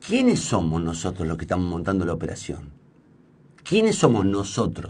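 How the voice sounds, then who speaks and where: The pace is fairly slow and the voice somewhat breathy. Its pitch swings very widely. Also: man. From Argentina, Santa Fe. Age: 50s. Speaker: radio host and journalist; radio host, journalist. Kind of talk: on-air monologue. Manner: hesitant, many fillers and restarts. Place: studio. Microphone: studio mic.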